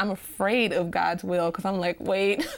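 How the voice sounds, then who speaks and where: Vocal fry runs through a woman's medium-pitched voice. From Nashville, Tennessee. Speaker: physical therapy student. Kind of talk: Bible study discussion.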